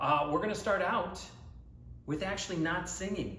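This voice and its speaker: Noticeable background noise sits behind a man with a high pitch. He speaks at a moderate pace with ordinary pitch variation. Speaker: Broadway voice coach, actor and singer. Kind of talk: guided vocal warm-up instruction to camera. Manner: encouraging, conversational, instructive.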